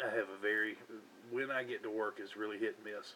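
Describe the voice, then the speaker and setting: The man speaks with a Southern US accent. His tone is relaxed. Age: 40s. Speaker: hobbyist vlogger. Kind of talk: casual chat. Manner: relaxed, hesitant with fillers.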